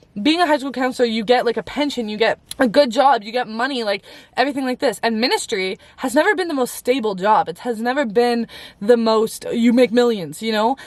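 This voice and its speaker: A woman's high pitch, animated tone, fairly quick pace and ordinary pitch variation. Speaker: faith vlogger. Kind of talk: casual story time vlog. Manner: fast.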